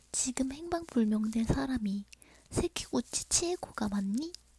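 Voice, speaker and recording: Speaking at a very slow pace, a woman has a fairly high pitch, a dark, mellow tone and a somewhat breathy quality, recorded with a dry, close sound and no echo. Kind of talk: horror story narration, ASMR bedtime. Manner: soft, intimate, friendly.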